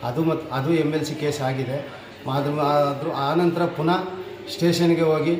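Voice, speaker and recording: Amid noticeable background noise and audible room echo, a man with a fairly high pitch talks in a flat monotone. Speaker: retired soldier. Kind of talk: statement to the press.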